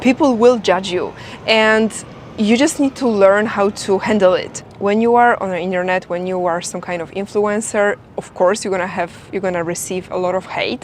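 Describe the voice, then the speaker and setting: A woman with a slight Polish accent talks at a moderate pace with ordinary pitch variation. Noticeable background noise runs under her voice. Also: medium pitch for a woman. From Poland. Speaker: English teacher and influencer. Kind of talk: tutorial. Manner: animated.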